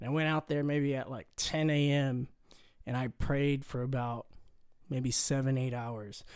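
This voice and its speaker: On a very clean recording with a silent background, a man with an American accent and an unremarkable speaking voice talks at a fairly slow pace and a fairly high pitch, with big swings in loudness. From Corpus Christi, Texas. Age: 20s. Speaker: newlywed husband. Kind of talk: casual chat.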